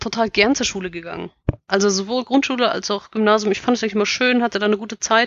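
A woman speaks very fast at a medium pitch, with ordinary pitch variation. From Bavaria, near Munich. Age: 30s. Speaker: author. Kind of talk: casual interview.

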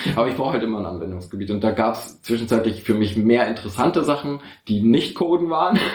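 Speaking at a very fast pace, a man with a medium-pitched, somewhat breathy voice uses lively intonation. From northern Germany, Osnabrück area. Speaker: chronic pain patient. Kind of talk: casual chat. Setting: shared table mic, several people in one room. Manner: halting. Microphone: poor audio quality.

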